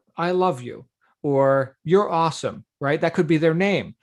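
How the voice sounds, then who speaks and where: With a quiet background, a man talks fairly slowly in an unremarkable speaking voice, fairly high in pitch with ordinary pitch variation. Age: 50s. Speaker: success coach hosting daily call. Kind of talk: group call coaching.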